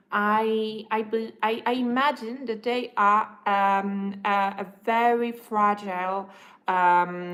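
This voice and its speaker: Speaking at a very slow pace, a woman has a non-native accent. Her pitch is medium. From Europe. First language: not English. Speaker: livestreamer. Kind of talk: casual livestream monologue. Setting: livestream while having breakfast. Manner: halting.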